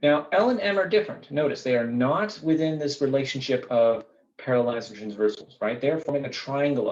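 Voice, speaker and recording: A man talks at a fairly quick pace with a medium pitch. His intonation is lively. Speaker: math teacher. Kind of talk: tutorial. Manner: fast.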